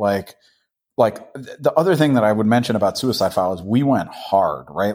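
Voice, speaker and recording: A normal speaking voice with lively intonation, in a very clean recording with a silent background. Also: man. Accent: American. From Boston. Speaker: hardcore punk musician. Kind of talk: casual interview.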